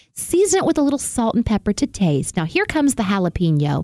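The voice has a dark, mellow tone and a Southern US accent. The sound is dry and close, with no echo. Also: woman. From US South. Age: 50s. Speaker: radio host. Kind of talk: tutorial; casual chat. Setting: studio.

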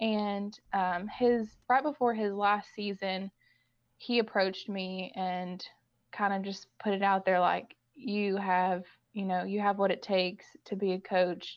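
With a Kentucky accent, the speaker goes at a fairly slow pace using fairly even intonation. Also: woman, medium pitch for a woman. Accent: Kentucky Southern. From Kentucky, Owen County. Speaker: girls basketball assistant coach. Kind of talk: interview.

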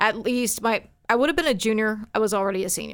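On a very clean recording with a silent background, a woman with a Texan accent speaks at a fairly quick pace with fairly even intonation. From Texas, Forney near Dallas. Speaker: radio news and traffic reporter. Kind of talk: casual interview chat.

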